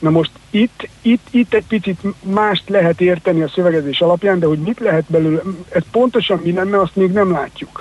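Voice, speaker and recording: The sound is dry and close with no echo, and a man speaks with a high pitch. His loudness stays very even, with ordinary pitch variation. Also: moderate pace. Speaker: financial expert. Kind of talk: radio interview.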